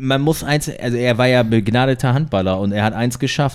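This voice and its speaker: Recorded very cleanly against a silent background, a man with a normal speaking voice talks at a moderate pace and medium pitch, with ordinary pitch variation. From northern Germany, Delmenhorst. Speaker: former handball player. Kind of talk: casual chat. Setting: at a home, recorded over beer.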